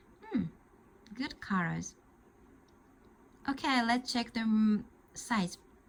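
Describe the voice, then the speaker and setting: Very slowly and with long, frequent pauses, a woman in a Japanese accent speaks at a fairly high pitch with ordinary pitch variation. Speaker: crochet tutor. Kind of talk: tutorial. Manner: halting.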